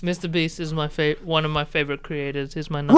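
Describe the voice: Speaking very fast with a very deep, low pitch, a woman with an Australian accent keeps a monotone, flat intonation. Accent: thick Australian.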